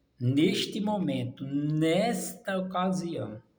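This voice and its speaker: A man speaks in an animated tone. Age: 60s. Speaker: preacher. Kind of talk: sermon.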